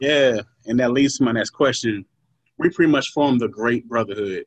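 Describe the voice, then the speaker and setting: A man with a plain, everyday voice, medium pitch, ordinary pitch variation and a moderate pace, in a dry, close sound with no echo. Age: 30s. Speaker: podcast host. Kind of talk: casual chat.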